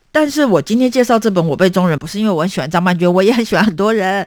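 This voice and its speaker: A woman speaks in an animated tone with very wide pitch swings. The recording is very clean and the background silent. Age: 40s. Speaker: podcast host. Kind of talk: book talk monologue.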